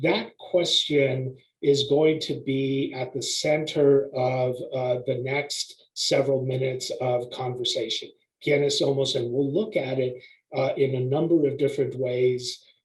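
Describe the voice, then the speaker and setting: A man at a fairly slow pace, somewhat breathy, fairly high in pitch, with fairly even intonation. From US, Mexican immigrant family community. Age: 60s. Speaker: behavioral health panelist. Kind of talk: webinar presentation. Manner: hesitant, many fillers.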